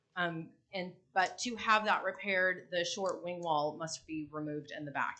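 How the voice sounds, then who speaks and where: A loud woman with a bright, sharp tone. Her pitch varies in an ordinary way. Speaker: building owner speaking at public meeting. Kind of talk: public comment at city meeting. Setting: city commission meeting.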